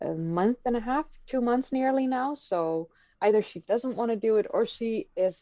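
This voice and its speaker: A woman with a Dutch accent, ordinary pitch variation and a moderate pace. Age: 30s. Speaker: history YouTuber. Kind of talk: live stream conversation. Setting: live stream.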